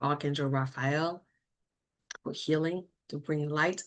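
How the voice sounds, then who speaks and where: The speaker has a French accent and ordinary pitch variation. The background is quiet. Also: woman. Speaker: mortgage lender and energy practitioner. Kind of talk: solo livestream talk. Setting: live video stream. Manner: halting, searching for words.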